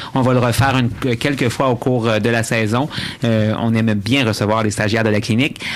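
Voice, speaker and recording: A man speaks at a medium pitch and a fairly quick pace, his loudness very even and his intonation flat and monotone, over noticeable background noise. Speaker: radio host. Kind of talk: radio show chat. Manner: fast.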